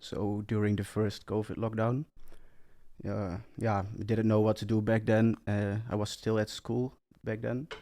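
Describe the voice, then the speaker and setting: Speaking with a Dutch accent, a man uses a fairly low pitch and a dark, mellow tone at a fairly slow pace with monotone, flat intonation. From Netherlands. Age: 20s. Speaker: entrepreneur. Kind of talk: interview. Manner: halting.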